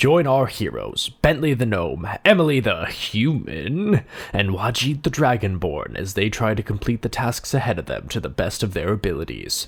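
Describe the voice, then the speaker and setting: A man's put-on character voice at a medium pitch, moderate in pace with hardly any pauses. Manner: dramatic.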